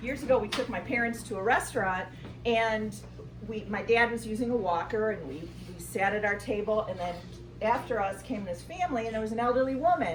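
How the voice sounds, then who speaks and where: Noticeable background noise runs under the recording. A woman with a fairly high pitch talks at a fairly quick pace with lively intonation. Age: middle-aged. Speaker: amateur stand-up comedian. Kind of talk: stand-up comedy set at open mic night. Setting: live comedy venue with audience.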